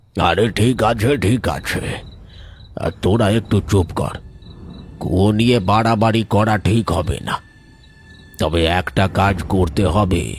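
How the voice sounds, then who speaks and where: Using a cartoonish character voice, a man speaks at a fairly slow pace with a fairly low pitch and ordinary pitch variation. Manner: earnest, commanding.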